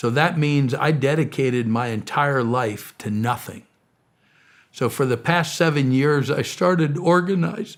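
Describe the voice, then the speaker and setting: A man speaks at a fairly high pitch and a fairly slow pace, with ordinary pitch variation and a normal speaking voice. The recording is very clean, with a silent background. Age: 60s. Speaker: missionary and charity founder. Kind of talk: interview.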